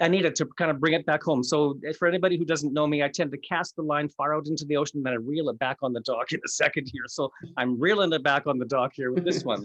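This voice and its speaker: Talking at a very fast pace, a man keeps a fairly high pitch with ordinary pitch variation. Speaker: life coach and speaker. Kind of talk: casual interview chat.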